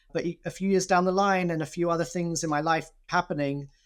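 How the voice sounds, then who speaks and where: This is a man with a London accent. The recording is very clean, with a silent background. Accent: London English, sometimes taken for Brooklyn. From London, England. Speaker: nonprofit executive. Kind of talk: interview.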